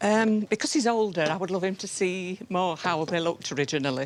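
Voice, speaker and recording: With a Yorkshire accent, a woman speaks at a moderate pace in a fairly low pitch with lively intonation. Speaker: member of the public bringing an heirloom for repair. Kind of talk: casual chat.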